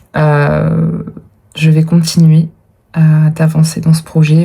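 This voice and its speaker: Using a very deep, low pitch, a woman speaks at a very slow pace in a monotone, flat intonation. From France, Dordogne (Périgord). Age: 30s. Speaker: vlogger and writer. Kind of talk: casual vlog talk. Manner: hesitant, many fillers.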